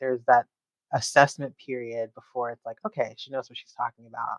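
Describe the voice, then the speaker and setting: In a dry, close sound with no echo, a woman with a very deep, low pitch speaks with a slight Southern California accent. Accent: slight Valley Girl. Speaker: security analyst. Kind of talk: podcast interview.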